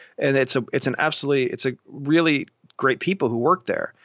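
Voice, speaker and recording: A man with an American accent speaks at a fairly high pitch, his pitch varying in an ordinary way. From Ohio (Columbus). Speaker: tech journalist and entrepreneur. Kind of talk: interview.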